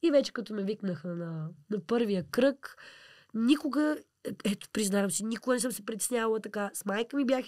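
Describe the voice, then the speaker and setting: Recorded very cleanly with a silent background, a woman with a plain, everyday voice talks at a moderate pace and a fairly high pitch. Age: 20s. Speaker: pop-folk singer. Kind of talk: interview.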